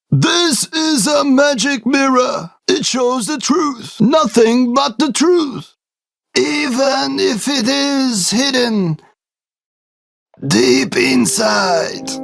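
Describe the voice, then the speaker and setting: Using a put-on character voice, the speaker goes very slowly with lively intonation. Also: man, extremely high pitch for a man. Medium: read story. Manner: calm, solemn.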